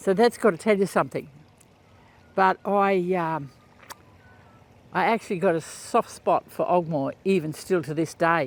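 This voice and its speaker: A man with a strong Australian accent speaks at a moderate pace and a high pitch, with ordinary pitch variation and long, frequent pauses. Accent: broad Australian. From rural Queensland, Australia. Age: 70s. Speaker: podcaster. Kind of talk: casual monologue. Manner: halting, many fillers.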